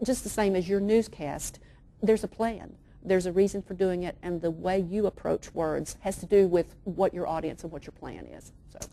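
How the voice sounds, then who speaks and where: Her tone dark and mellow, a woman with an East Tennessee accent speaks at a medium pitch and moderate pace with fairly even intonation. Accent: Southern US (East Tennessee). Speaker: children's author. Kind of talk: interview answer.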